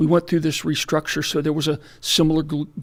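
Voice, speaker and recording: This man speaks at a fairly high pitch with vocal fry, on a very clean recording with a silent background. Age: 60s. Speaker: hospital executive and physician. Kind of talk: radio interview. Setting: radio studio. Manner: halting, many fillers.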